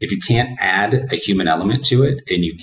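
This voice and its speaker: Somewhat breathy and with a fairly low pitch, a man speaks at a moderate pace amid audible room echo and light background noise. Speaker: remote guest. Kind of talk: interview answer. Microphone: webcam.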